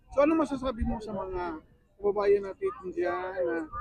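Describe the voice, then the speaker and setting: At a moderate pace, a man speaks in a dry recording with no echo. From Philippines. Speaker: vlogger interviewing fellow Filipinos. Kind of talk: casual interview. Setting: outdoors at a lake picnic. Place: open country. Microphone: lapel.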